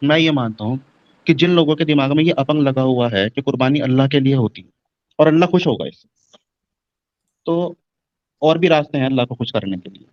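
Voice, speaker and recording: A man with a fairly high pitch talks at a moderate pace with ordinary pitch variation, long and frequent pauses, and big swings in loudness, the sound dry and close with no echo. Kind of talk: live stream discussion.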